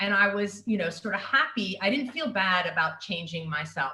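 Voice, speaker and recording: A woman speaks with an American accent at a moderate pace. Her pitch varies in an ordinary way. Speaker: university staff member, former journalist. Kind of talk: personal storytelling on a video call. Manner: hesitant, many fillers.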